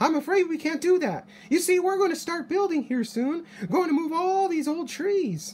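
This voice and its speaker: A squeaky, put-on character voice at an extremely high pitch comes through over light background noise. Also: moderate pace. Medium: read story.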